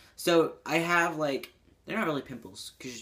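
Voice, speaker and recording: This is a very clean recording with a silent background. The speaker talks fairly slowly. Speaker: transgender vlogger. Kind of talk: casual talk to camera. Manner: casual, hesitant with many fillers.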